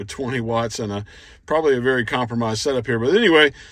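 Recorded dry with no echo and a quiet background, a man talks at a fairly quick pace with ordinary pitch variation. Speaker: ham radio operator. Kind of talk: casual vlog chat. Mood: cheerful, pleased. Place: car. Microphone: phone near.

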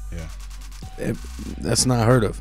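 Faint music plays behind a man whose voice sounds dry, with no echo. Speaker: guest. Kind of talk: interview answer. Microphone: studio mic.

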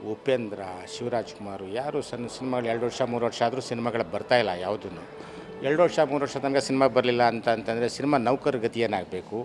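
A man at a medium pitch with ordinary pitch variation, against noticeable background noise. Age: 60s. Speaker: cinema theatre worker. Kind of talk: street interview.

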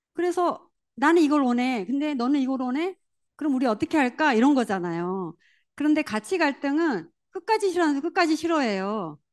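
Against a quiet background, a woman speaks at a fairly quick pace in an animated tone, high-pitched and with very wide pitch swings. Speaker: network marketing leader. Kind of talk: motivational seminar talk.

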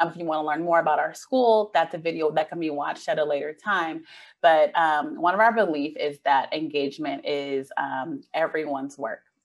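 Against a quiet background, a woman talks at a moderate pace with a very deep, low pitch and ordinary pitch variation. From San Francisco Bay Area. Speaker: community school manager; presenter. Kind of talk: conference presentation. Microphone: video call.

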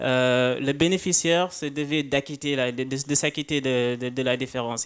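Against a quiet background, a man talks very slowly at a fairly high pitch with fairly even intonation. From Senegal. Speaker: start-up founder. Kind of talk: panel discussion. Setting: conference stage with audience. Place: hall. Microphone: handheld.

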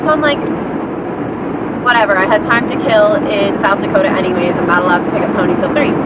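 A woman talks at a fairly quick pace in a dry sound with no echo, against loud background noise. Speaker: vlogger. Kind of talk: casual vlog chat. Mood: exasperated, storytelling. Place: car. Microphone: phone near.

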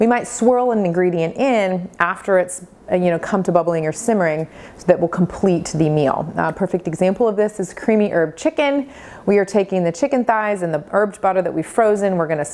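This woman's tone is dark and mellow. She talks at a fairly quick pace with ordinary pitch variation. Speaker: cooking instructor. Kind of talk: tutorial. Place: kitchen.

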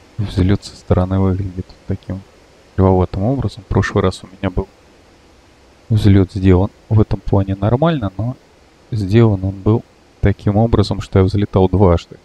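At a moderate pace, a man with a fairly low pitch and a dark, mellow tone sounds somewhat breathy, keeping his intonation fairly even while taking long, frequent pauses and swinging widely in loudness. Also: dry, close sound with no echo. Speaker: flight simulator gamer and video creator. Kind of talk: casual gameplay walkthrough with tutorial explanations. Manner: loose, rambling narration full of fillers like вот and ну; self-correcting, mildly exasperated asides at mistakes.

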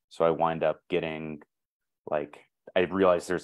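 A man's very deep, low voice, monotone and flat, at a fairly quick pace against a quiet background. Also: dry sound with no echo. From US South. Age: 30s. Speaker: potter and teacher; teacher. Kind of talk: casual panel talk. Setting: video call. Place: home room. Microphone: video call.

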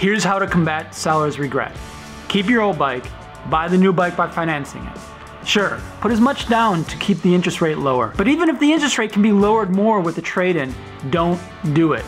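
Faint music sits in the background. Over it, a man speaks at a fairly quick pace. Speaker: motorcycle vlogger. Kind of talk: casual vlog chat. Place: home room.

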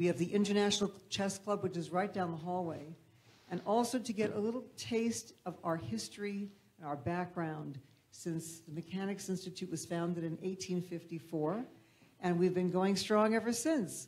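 A woman with a somewhat breathy, medium-pitched voice speaks at a moderate pace with ordinary pitch variation. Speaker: events director. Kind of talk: welcome announcement. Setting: stage with audience.

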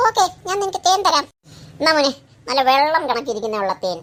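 This is a cartoonish character voice pitched high, with very wide swings in pitch. It moves at a moderate pace. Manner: coaxing salesman.

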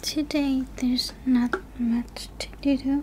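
Soft-spoken delivery at a very slow pace over light background noise. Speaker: voice actor in audio roleplay. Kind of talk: roleplay character dialogue. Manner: soft, quiet, shy ASMR voice.

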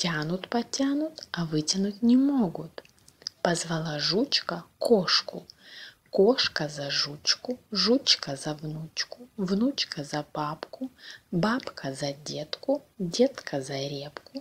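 A woman talks very slowly in a somewhat breathy voice, her pitch swinging very widely. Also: fairly low pitch for a woman. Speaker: Russian language teacher. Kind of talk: reading aloud a fairy tale. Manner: slow, clear pronunciation.

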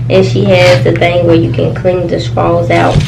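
Noticeable background noise is present. Through it, a woman talks. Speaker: mukbang vlogger. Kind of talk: casual vlog chat. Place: home room.

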